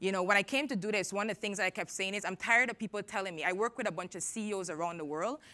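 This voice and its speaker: Recorded very cleanly against a silent background, a woman with a Caribbean accent speaks very fast in a bright, sharp, animated tone with lively intonation. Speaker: tech entrepreneur and conference speaker. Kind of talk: conference talk. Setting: stage with audience.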